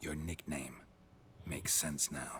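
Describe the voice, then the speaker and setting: A man growls in a put-on character voice pitched very deep and low, with clear background noise behind him. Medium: video game. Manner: laconic, deadpan.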